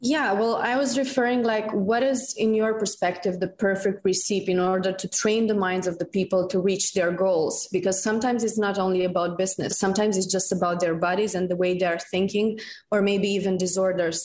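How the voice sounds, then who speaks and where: The speaker talks at a fairly quick pace with a Romanian accent. There are hardly any pauses, and the intonation stays fairly even. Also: woman, medium pitch for a woman. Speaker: community manager, podcast team member asking a question.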